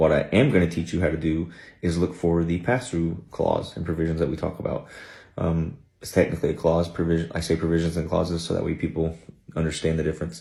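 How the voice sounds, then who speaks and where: A man speaks very fast with a very deep, low pitch and fairly even intonation. His tone is dark and mellow, and somewhat breathy. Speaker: government contracting educator. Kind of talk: screen-share tutorial. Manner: casual, conversational.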